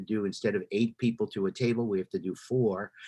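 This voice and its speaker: A man with an American accent talks at a very fast pace in a dark, mellow tone. The background is quiet. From Brooklyn, New York. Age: 70s. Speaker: jazz drummer and bandleader. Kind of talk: casual chat.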